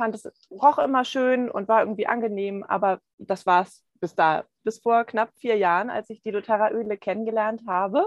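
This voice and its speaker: A woman speaks at a moderate pace in an unremarkable speaking voice, fairly high-pitched with ordinary pitch variation and hardly any pauses. Her loudness swings widely, and the sound is dry and close with no echo. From Hamburg, Germany. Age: 40s. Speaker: essential oils consultant. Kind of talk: interview.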